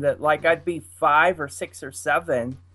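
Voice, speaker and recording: A man talks at a moderate pace. He has a Pittsburgh accent. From Pittsburgh, US. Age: 50s. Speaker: furry. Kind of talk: casual chat. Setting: video call.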